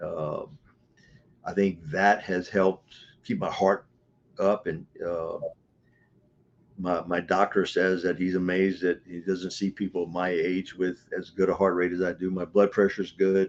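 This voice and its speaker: A man with an American accent speaks at a fairly slow pace in a very deep, low voice. His intonation stays monotone and flat, broken by long, frequent pauses. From US South, Louisiana. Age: 70s. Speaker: martial arts coach. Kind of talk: interview. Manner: hesitant, repeats words.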